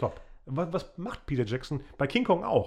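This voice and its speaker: An ordinary speaking voice with lively intonation. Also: man. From Germany, Bielefeld. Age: 40s. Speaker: podcast host and filmmaker. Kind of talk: casual chat.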